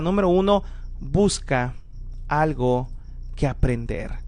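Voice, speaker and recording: A man talks at a fairly slow pace, and the room echo is audible. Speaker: preacher. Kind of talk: sermon.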